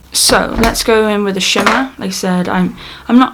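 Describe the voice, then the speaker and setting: Noticeable background noise is present. Through it, a woman can be heard talking. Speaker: beauty YouTuber. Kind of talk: makeup tutorial. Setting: at home. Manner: quiet, subdued; casual, with fillers.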